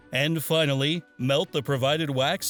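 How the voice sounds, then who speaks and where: Music plays in the background as a man with a fairly high voice speaks at a moderate pace. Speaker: voiceover performer. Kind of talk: TV commercial read. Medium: sketch comedy.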